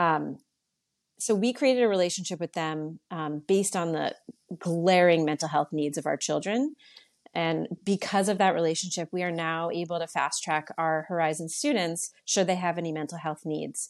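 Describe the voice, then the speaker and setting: In an American accent, a woman talks at a moderate pace with a fairly low pitch. It is an ordinary speaking voice with ordinary pitch variation. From Connecticut (New Canaan). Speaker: non-profit board chair. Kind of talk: interview.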